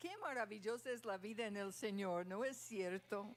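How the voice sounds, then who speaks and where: A woman with a fairly high pitch talks at a very slow pace, her pitch varying in an ordinary way. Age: 70s. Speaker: pastor. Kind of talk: sermon.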